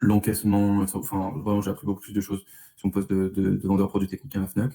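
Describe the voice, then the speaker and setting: The man has a fairly low pitch and a dark, mellow tone. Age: 20s. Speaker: interviewee, former salesperson now manager. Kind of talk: interview. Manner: hesitant, many fillers.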